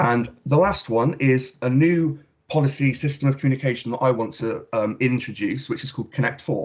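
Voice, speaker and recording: A somewhat breathy man talks at a fairly quick pace with ordinary pitch variation. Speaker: student election candidate. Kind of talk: campaign speech.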